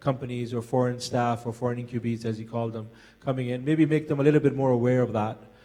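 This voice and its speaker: A medium-pitched man with an American accent and monotone, flat intonation. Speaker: forum panelist, military veteran. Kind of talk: panel discussion. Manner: halting.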